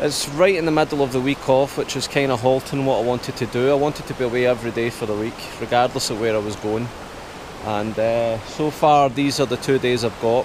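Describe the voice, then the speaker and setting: Amid noticeable background noise, a man talks at a fairly quick pace with fairly even intonation and dry sound with no echo. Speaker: camper vlogger. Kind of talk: casual vlog chat. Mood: slightly anxious, reflective. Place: waterside. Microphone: phone near.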